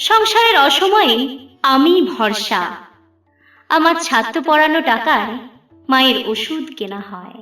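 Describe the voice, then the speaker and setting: A woman uses a raised, projected voice at a high pitch, with very wide pitch swings and big swings in loudness, while music plays in the background. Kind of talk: poetry reading.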